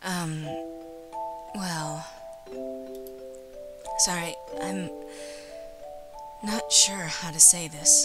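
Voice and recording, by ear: A woman uses a put-on character voice, fairly low in pitch with a bright, sharp tone and fairly even intonation, at a very slow pace with long, frequent pauses. Audible room echo and faint background music accompany her.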